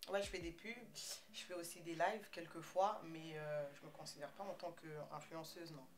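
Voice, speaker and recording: A woman's fairly low voice at a moderate pace, with ordinary pitch variation, big swings in loudness, noticeable background noise and audible room echo. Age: 20s. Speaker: make-up artist and entrepreneur. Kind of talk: casual interview. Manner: hesitant.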